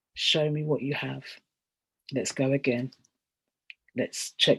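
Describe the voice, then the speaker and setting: The speaker talks with a London accent. The pace is moderate. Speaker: theatre director. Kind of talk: panel discussion on video call. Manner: halting, with fillers.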